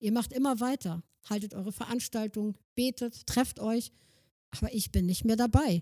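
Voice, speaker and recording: A woman talks in a dark, mellow tone, somewhat breathy, at a medium pitch that varies in an ordinary way. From northern Germany, Schleswig-Holstein (Kreis Plön). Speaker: missionary organisation worker. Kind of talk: sermon-style talk.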